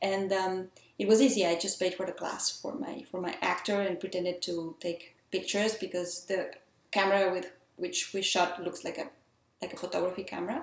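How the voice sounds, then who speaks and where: This woman talks at a moderate pace with a medium pitch. Fairly even intonation comes through over noticeable background noise. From Mexico. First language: Spanish. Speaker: filmmaker. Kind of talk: casual vlog talk. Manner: halting, with fillers.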